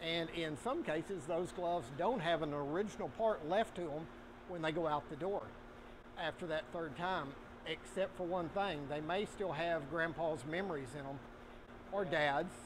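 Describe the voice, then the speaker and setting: Noticeable background noise sits behind a man speaking at a moderate pace. His pitch is high, with ordinary variation. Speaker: factory owner giving tour. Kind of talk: tour guide explanation. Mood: proud, good-humored. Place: factory. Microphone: lapel.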